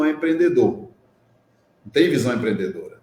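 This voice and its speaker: This man's voice is somewhat breathy, with a dark, mellow tone and ordinary pitch variation. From Minas Gerais, Brazil. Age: 60s. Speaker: social entrepreneur in solar energy. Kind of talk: interview conversation.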